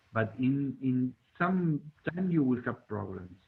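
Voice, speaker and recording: A man speaks in a Spanish accent at a very slow pace. His pitch is medium. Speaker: robotics hobbyist. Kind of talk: community meeting presentation. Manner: halting, many fillers.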